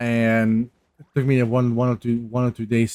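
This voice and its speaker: A man's monotone, flat voice on a very clean recording with a silent background. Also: dry, close sound with no echo. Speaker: gaming YouTuber. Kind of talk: casual update talk. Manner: halting, many fillers and restarts.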